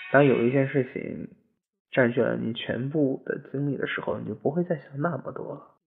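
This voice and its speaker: His loudness rises and falls in big swings. The man keeps to a moderate pace. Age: 20s. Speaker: podcast host. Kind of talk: personal monologue. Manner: muffled, held in throat. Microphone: no headphones, echo.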